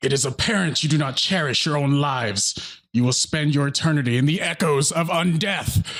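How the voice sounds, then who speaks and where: A man's booming yet shrill put-on character voice, fairly high in pitch, at a fairly quick pace with hardly any pauses. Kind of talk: grandiloquent, ominous. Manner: menacing, threatening.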